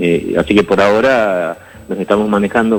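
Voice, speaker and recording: A man's fairly low voice comes through. Noticeable background noise runs behind him. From Argentina, Jujuy (San Pedro). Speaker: infectious disease doctor. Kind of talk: interview. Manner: halting, many repetitions.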